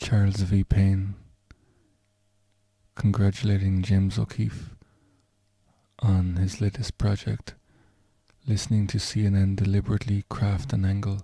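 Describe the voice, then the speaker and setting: A man's fairly low, somewhat breathy voice with a dark, mellow tone, monotone, flat intonation, very even loudness, and long, frequent pauses. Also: moderate pace. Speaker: vlogger. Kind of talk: casual talk to camera.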